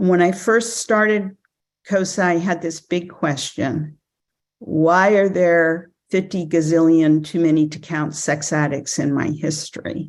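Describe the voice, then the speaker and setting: A woman's ordinary speaking voice, fairly low in pitch, at a fairly slow pace with fairly even intonation. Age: 60s. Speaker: recovery program member sharing her story. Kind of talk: testimony. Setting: speaker meeting.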